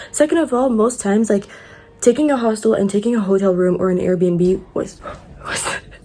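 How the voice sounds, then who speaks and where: A woman speaks at a fairly quick pace with medium pitch and ordinary pitch variation over noticeable background noise. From Morocco. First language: French. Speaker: travel vlogger. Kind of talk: casual vlog. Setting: outdoors. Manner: animated.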